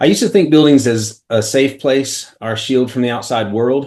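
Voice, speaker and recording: The speaker has an American accent. The intonation is fairly even. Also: man. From Carroll County, US. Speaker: architect. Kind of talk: webinar presentation. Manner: fast.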